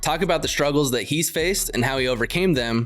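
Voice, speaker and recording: Someone speaks at a very fast pace while music plays in the background. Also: man. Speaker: podcast host. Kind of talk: podcast interview.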